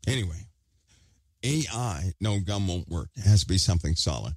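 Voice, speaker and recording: Somewhat breathy, a man with a very deep, low pitch speaks with lively intonation on a very clean recording with a silent background. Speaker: online commentator. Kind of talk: casual monologue to viewers.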